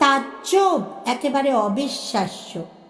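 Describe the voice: With audible room echo, a woman speaks slowly in a high voice full of big pitch swings.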